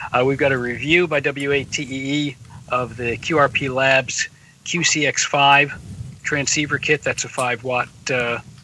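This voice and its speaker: A man's fairly high, monotone voice at a very slow pace, full of long, frequent pauses, in a dry room with no echo and light background noise. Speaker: radio magazine editor. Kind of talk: casual interview. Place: home room. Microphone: webcam.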